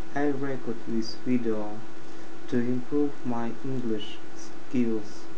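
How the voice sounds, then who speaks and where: Over noticeable background noise, a man speaks at a very slow pace. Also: fairly even intonation. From Russia. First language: Russian. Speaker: IT support worker. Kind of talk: casual talk to camera. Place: home room. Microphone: webcam.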